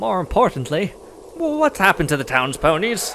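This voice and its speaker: A man puts on a character voice pitched high for a man, speaking at a moderate pace. Clear background noise runs behind him. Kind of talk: audio drama.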